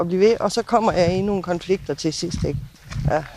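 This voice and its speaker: This is a woman with an ordinary speaking voice. She talks at a fairly quick pace with lively intonation. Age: 60s. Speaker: neighbour of a departure centre. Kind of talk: interview. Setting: outdoors on garden terrace.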